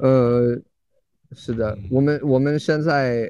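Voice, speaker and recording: This man speaks at a very slow pace in a dark, mellow tone. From US. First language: English (speaking Chinese). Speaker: English teacher in China. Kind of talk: casual interview chat. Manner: halting, many fillers and repetitions.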